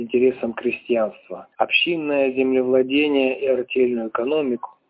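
At a moderate pace, the intonation stays fairly even. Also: man.

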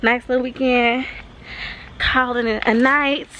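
Against noticeable background noise, a woman speaks in a high pitch with an animated tone. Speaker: beauty vlogger and freelance makeup artist. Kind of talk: casual vlog monologue. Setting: on the go, salon. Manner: casual, chatty, animated.

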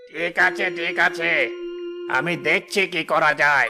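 Over clear background music, a man puts on a cartoonish character voice, high-pitched and at a fairly slow pace. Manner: gruff, authoritative.

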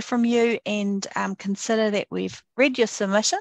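In a New Zealand accent, a woman with a fairly high pitch and a warm tone speaks at a fairly slow pace with fairly even intonation, recorded dry and close with no echo against a quiet background. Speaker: select committee chair. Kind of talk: formal hearing, chairing. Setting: video call. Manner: warm and friendly.

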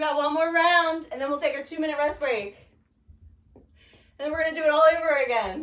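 A woman's high-pitched voice with ordinary pitch variation, big swings in loudness, and audible room echo. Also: fairly quick pace. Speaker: fitness instructor. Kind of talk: workout class cues. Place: garage. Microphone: camera far.

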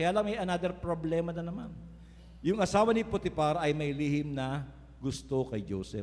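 This man has a normal speaking voice with a fairly high pitch. He talks at a moderate pace with lively intonation. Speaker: preacher. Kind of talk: sermon. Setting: church. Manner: earnest, preaching cadence with rhetorical 'Amen?' calls to the congregation.

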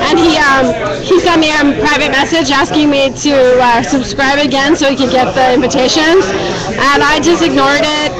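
Crowd noise fills the background as a woman speaks with ordinary pitch variation. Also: moderate pace. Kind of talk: casual bar conversation. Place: bar.

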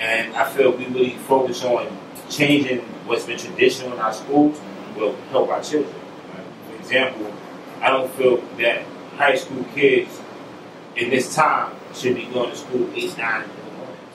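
A man with a New York accent at a moderate pace, with monotone, flat intonation, big swings in loudness, long, frequent pauses and noticeable background noise. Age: 40s. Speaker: political candidate and community leader; candidate. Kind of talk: interview. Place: studio.

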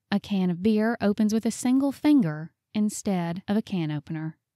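A woman with a dark, mellow tone and medium pitch speaks at a moderate pace with lively intonation. The recording is very clean, dry and close, with a silent background and no echo. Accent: Southern US. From Southern United States. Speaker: voice actor. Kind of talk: audiobook narration.

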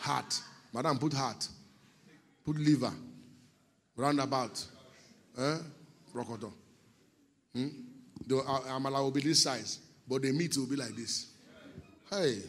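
Animated in tone, a man with a Nigerian accent talks at a fairly slow pace with long, frequent pauses. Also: medium pitch for a man. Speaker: pastor. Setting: church.

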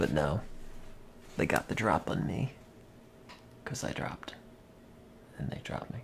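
A man speaks with long pauses that come often, while clear background noise goes on behind him. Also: moderate pace. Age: 50s. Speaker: video game streamer. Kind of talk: live gameplay commentary. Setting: livestream from home.

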